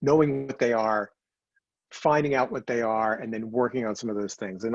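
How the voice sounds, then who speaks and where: A man's voice with ordinary pitch variation. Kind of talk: public speaking, talk about communication. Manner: fast, rapid talking.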